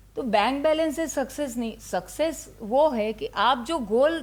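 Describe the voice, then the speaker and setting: Her intonation rises and falls in a lively way. The woman's pitch is high. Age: 60s. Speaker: ayurveda doctor. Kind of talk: interview.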